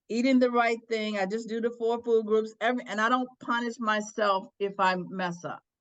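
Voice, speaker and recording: Here is a woman with an unremarkable speaking voice and fairly high pitch. She keeps a moderate pace and fairly even intonation. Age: 60s. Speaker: attorney and former court clerk. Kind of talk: interview.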